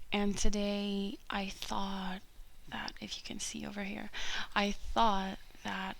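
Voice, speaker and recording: Soft-spoken whispering at a very slow pace. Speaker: ASMR creator. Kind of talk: casual ASMR talk to camera. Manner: soft-spoken, whispered.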